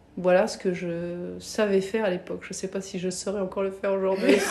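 A woman is talking. Her voice has a medium pitch. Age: 40s. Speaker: former banker turned entrepreneur. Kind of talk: interview. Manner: hesitant, many fillers.

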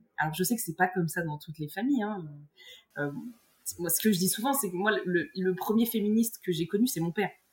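Fairly quick, somewhat breathy speech from a woman. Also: medium pitch for a woman, ordinary pitch variation. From central France, Morvan countryside. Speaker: grappling world champion and university teacher. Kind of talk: casual interview. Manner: halting, many repetitions and fillers.

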